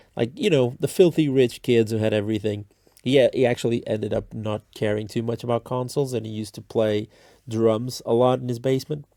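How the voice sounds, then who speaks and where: In a non-native accent, the speaker talks at a fairly quick pace with a dark, mellow tone and fairly even intonation. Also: man, medium pitch for a man. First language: not English. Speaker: streamer / content creator. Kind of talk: casual storytelling monologue. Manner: halting, many fillers and restarts.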